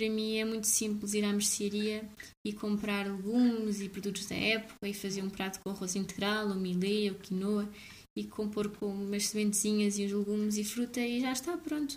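A woman talks at a moderate pace in a medium-pitched voice. Her tone is somewhat breathy with fairly even intonation. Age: 20s. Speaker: blogger. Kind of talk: casual interview.

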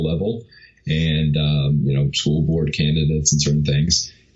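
With an American accent, a man speaks at a moderate pace in a very deep, low pitch and monotone, flat intonation. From New York. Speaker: filmmaker and media entrepreneur. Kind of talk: interview conversation. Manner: halting, many fillers.

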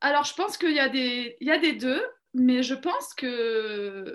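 Very slowly, a woman speaks at a high pitch with lively intonation. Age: 30s. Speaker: education professional. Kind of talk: interview testimony. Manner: halting, many fillers.

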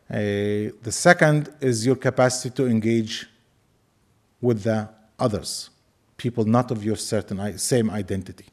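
A speaker with an Arabic accent talks at a moderate pace with ordinary pitch variation and long, frequent pauses. The recording is very clean, with a silent background. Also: man, medium pitch for a man. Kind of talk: lecture. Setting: lecture hall with audience.

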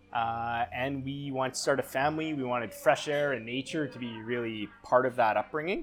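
A normal speaking voice from a man with a Canadian accent, medium pitch and fairly even intonation, at a moderate pace with hardly any pauses. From Canada, Vancouver. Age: 30s. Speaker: chef. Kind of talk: casual chat.

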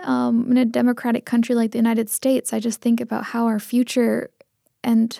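A woman with a Pacific Northwest accent, fairly high in pitch with a dark, mellow tone, fairly even intonation and a fairly quick pace, in a dry, close sound with no echo. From Seattle area, Tamil Indian household. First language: Tamil. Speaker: community journalist and poet. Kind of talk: casual interview.

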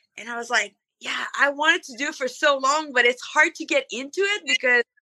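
A woman's raised, projected voice comes through high-pitched and bright, sharp in tone, with a dry, close sound and no echo. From Canada. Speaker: monster truck driver. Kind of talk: casual interview.

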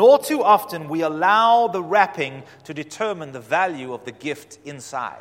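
A man with a high pitch and lively intonation talks at a moderate pace with hardly any pauses and big swings in loudness. Noticeable background noise runs underneath. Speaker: pastor. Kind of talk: sermon. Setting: church.

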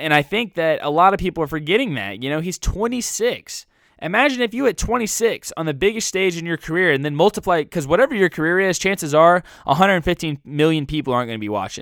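With a passionate tone, a man speaks at a very fast pace and high pitch, making very wide pitch swings, on a very clean recording with a silent background and a dry, close sound with no echo. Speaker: sports talk podcast host. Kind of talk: angry sports rant, opinionated monologue. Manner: passionate, emphatic, defensive of the quarterback.

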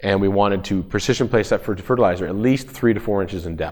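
A very fast-talking man with a Canadian accent and ordinary pitch variation. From Ontario, Canada. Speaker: farmer. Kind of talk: presentation. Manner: halting.

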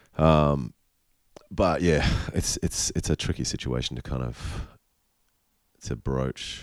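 Very deep and low, a man's voice comes with an Australian accent and ordinary pitch variation. He speaks fairly slowly, with long, frequent pauses. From Queensland, Australia. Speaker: rock musician. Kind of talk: casual chat. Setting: hotel room.

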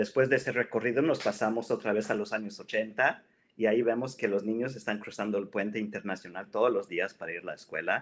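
A man with a fairly low voice talks at a fairly quick clip, barely pausing, his intonation fairly even. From Mexico-US border, Piedras Negras area. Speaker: writer and computing professional. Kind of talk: casual interview. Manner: halting, with frequent repetitions.

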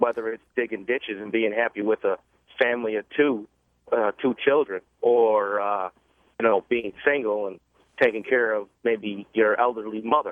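Speaking at a moderate pace, a man uses an ordinary speaking voice of medium pitch with fairly even intonation. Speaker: caller. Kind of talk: debating phone call. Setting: phone call.

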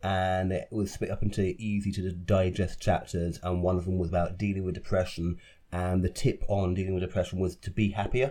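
In a British accent, a man speaks at a fairly quick pace with monotone, flat intonation and a very deep, low pitch. His dark, mellow tone comes through in a very clean recording with a silent background. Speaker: podcast host and theatre director. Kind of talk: casual interview chat.

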